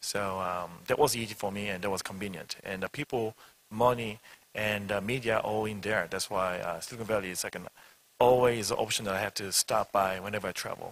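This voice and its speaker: Speaking with a Korean accent, a man has a fairly low pitch. He moves at a fairly quick pace with fairly even intonation. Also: dry, close sound with no echo. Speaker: startup CEO. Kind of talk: panel discussion. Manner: halting.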